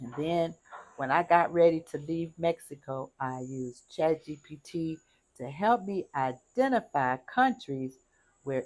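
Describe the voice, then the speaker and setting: A woman at a very slow pace with a very deep, low pitch, on a very clean recording with a silent background. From United States. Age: 70s. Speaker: retired expat vlogger. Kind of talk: casual vlog talk to camera. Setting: outdoors on a patio.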